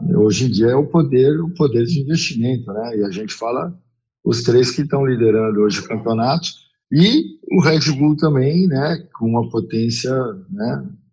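Somewhat breathy, a man speaks at a fairly slow pace with a medium pitch and lively intonation. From São Paulo city, Brazil. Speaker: former football goalkeeper and coach. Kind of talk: podcast interview.

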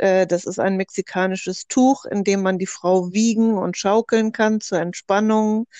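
In a dry, close sound with no echo, a woman of medium pitch speaks very slowly with fairly even intonation. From northern Germany, Hamburg. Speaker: doula and psychotherapy practitioner. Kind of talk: group discussion.

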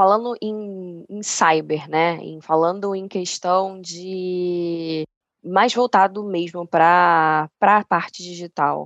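Against a quiet background, a woman with a fairly low pitch talks at a very slow pace with fairly even intonation and big swings in loudness, in a dry, close sound with no echo. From Niterói, Rio de Janeiro state, Brazil. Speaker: insurance company channel manager. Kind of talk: casual interview conversation.

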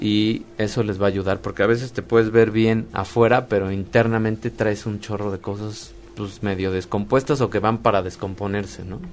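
Speaking at a moderate pace with hardly any pauses, a man with an unremarkable speaking voice keeps a fairly low pitch and fairly even intonation. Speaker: molecular medicine specialist. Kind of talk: radio interview.

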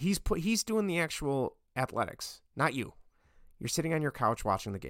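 Speaking fairly quickly, a man uses lively intonation. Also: very clean recording, silent background. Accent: American. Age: 30s. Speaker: podcast host. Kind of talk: casual solo sports commentary.

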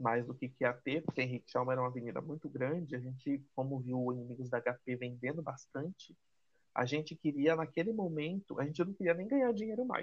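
A man with a fairly high pitch, speaking at a moderate pace with ordinary pitch variation, an unremarkable speaking voice. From Brazil, Salvador (Bahia). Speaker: guest friend. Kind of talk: casual chat.

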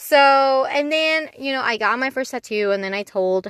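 A woman speaks at a moderate pace in an animated tone with lively intonation, the sound dry and close with no echo against a quiet background. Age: 20s. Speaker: solo podcaster. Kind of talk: casual monologue.

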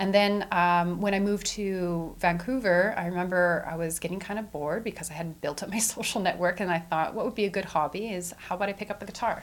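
A woman with a Western Canadian accent at a medium pitch, talking very fast with hardly any pauses and fairly even intonation. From Edmonton, Canada. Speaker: community event organizer. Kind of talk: interview.

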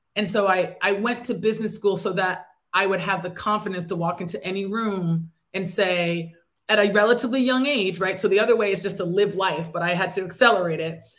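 A woman with an American accent talks at a fairly quick pace. Hers is a normal speaking voice at medium pitch, with fairly even intonation. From upstate New York. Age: 30s. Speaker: entrepreneur. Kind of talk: interview.

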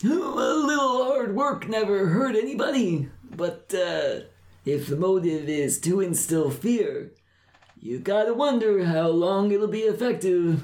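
A put-on character voice speaks at a fairly slow pace. Its pitch swings very widely. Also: man, high pitch for a man. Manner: wry, cautionary.

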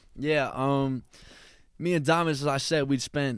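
A man with an American accent talks in an ordinary speaking voice at medium pitch, keeping a fairly slow pace and fairly even intonation. The recording is very clean, with a silent background. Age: 20s. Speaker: rapper. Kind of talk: casual interview chat. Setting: in-person studio.

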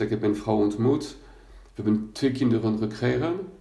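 At a moderate pace, a man with a medium-pitched, dark, mellow tone speaks with fairly even intonation, and room echo can be heard. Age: 50s. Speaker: coach for people with bipolar disorder. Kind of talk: personal testimony monologue. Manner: halting, many hesitations and repetitions.

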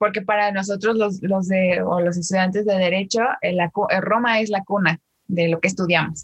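At a moderate pace and medium pitch, a woman speaks with very even loudness and a somewhat breathy voice. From Mexico, State of Mexico. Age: 20s. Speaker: TikTok creator and law graduate. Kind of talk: casual interview chat. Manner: animated.

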